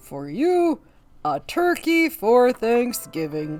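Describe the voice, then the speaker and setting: A man's put-on character voice, extremely high in pitch, with very wide pitch swings, a very slow pace and faint music in the background. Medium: read story. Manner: warm, hearty.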